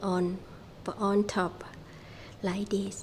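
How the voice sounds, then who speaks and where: Someone speaks at a very slow pace in a Thai accent. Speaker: small farmer and vlogger. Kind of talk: casual vlog narration. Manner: halting.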